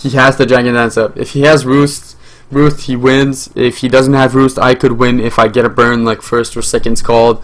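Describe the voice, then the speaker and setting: This man talks at a moderate pace in a medium pitch. His intonation is flat and monotone. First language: French. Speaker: gaming YouTuber. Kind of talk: live gameplay commentary. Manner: hesitant, many fillers.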